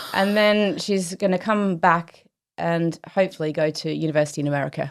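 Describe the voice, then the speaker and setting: On a very clean recording with a silent background, a woman with a fairly low pitch speaks at a fairly quick pace with fairly even intonation. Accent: slight Australian. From Australia, Melbourne. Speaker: company chief executive. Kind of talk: casual interview chat.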